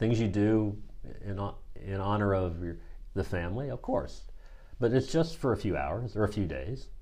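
A man with an American accent, fairly low in pitch, with a dark, mellow tone, somewhat breathy, lively intonation, a moderate pace, long, frequent pauses and audible room echo. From US Midwest, Missouri. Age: 50s. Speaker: executive coach. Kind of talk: casual chat.

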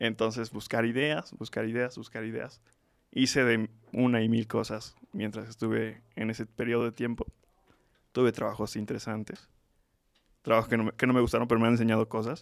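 A man talks at a moderate pace with a medium pitch and monotone, flat intonation. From Mexico, Tlaxcala. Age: 20s. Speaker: student and social entrepreneur. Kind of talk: interview.

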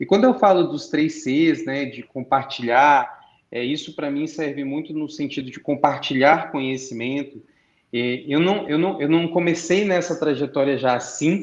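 A man with a normal speaking voice talks at a moderate pace, his fairly high pitch showing ordinary pitch variation. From Brazil, Brasília. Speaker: entrepreneur and conference speaker. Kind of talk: conference interview talk.

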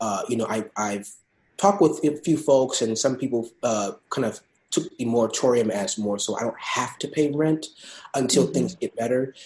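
Here a man speaks in an ordinary speaking voice at a moderate pace. His intonation is lively. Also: medium pitch for a man. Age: 20s. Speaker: state government policy fellow. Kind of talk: interview.

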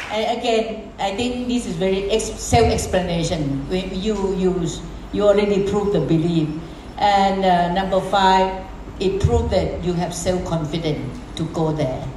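Against noticeable background noise and audible room echo, a woman speaks fairly slowly at a medium pitch. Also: ordinary pitch variation. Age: 70s. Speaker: network marketing business leader. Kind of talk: motivational seminar talk with consecutive interpretation. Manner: halting.

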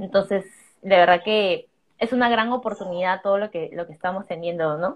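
A woman speaks in a plain, everyday voice at medium pitch. Her pace is moderate, with ordinary pitch variation. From Peru. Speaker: digital marketing entrepreneur. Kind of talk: live stream chat. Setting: live stream.

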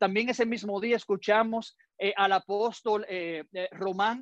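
The speaker has a Dominican accent, and the background is quiet. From Dominican Republic. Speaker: pastor. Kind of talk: sermon.

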